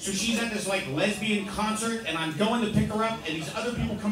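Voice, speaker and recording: Fairly quick speech from a man with a high voice, noticeable background noise and audible room echo. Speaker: open mic comedian. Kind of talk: stand-up comedy set. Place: bar. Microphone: pa.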